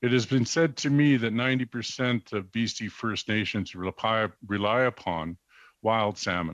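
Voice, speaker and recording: In a dry, close recording with no echo and a quiet background, a man with a plain, everyday voice talks at a medium pitch with ordinary pitch variation. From British Columbia coast, Canada. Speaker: First Nations chief and advocate. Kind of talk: formal testimony before a parliamentary committee. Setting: parliamentary committee hearing. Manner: formal.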